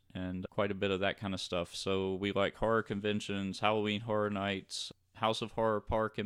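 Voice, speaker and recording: A man with an American accent speaks at a fairly low pitch and a moderate pace. His intonation is monotone and flat. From US South, North Louisiana. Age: 40s. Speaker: podcast host, police detective. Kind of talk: casual chat. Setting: home studio.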